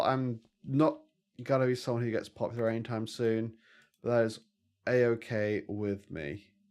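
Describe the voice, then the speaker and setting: Against a quiet background, a man with a British accent talks at a moderate pace with ordinary pitch variation and long, frequent pauses. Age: 30s. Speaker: vtuber gaming streamer. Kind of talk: casual gaming livestream chat.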